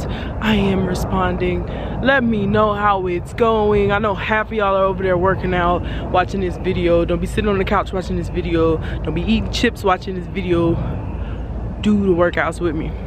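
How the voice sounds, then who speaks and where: A woman talks at a moderate pace. The sound is dry with no echo, though background noise is noticeable. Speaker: college student. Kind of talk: casual workout vlog to camera. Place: open country. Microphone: phone near.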